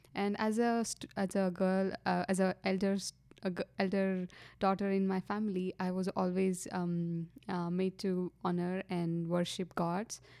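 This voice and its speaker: Speaking in an Indian accent, a woman of medium pitch has a dark, mellow tone and monotone, flat intonation. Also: fairly slow pace. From India, Karnataka. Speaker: engineering student. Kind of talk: testimony. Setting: studio. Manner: halting.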